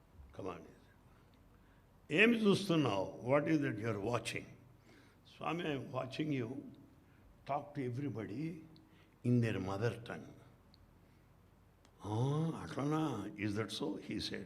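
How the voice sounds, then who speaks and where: Somewhat breathy, a man with an Indian accent speaks fairly slowly at a medium pitch with lively intonation and long, frequent pauses, and room echo is audible. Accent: Indian English, Telugu. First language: Telugu. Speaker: spiritual speaker, retired professor. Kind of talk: spiritual talk with anecdotes. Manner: animated.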